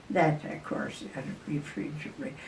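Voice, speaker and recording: Over noticeable background noise, a woman with a very deep, low pitch speaks with ordinary pitch variation. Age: 80s+. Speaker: retired RV traveler. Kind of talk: casual chat. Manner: halting.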